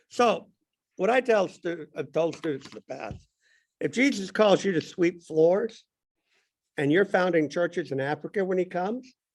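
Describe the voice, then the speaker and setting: Speaking with an American accent, a high-pitched man uses lively intonation at a moderate pace with long, frequent pauses, in a very clean recording with a silent background. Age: 60s. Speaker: Sunday school teacher. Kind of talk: bible class discussion.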